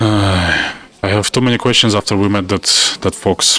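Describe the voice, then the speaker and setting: Against noticeable background noise, a man with a non-native accent speaks at a fairly low pitch with fairly even intonation. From former USSR. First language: Russian. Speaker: gaming YouTuber. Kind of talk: let's play commentary with reading aloud of game text. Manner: halting, self-correcting.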